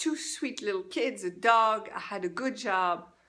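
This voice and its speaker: Bright and sharp in tone, a woman speaks in a French accent with lively intonation. Her pitch is fairly high. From France. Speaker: life coach. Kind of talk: personal testimony. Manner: halting.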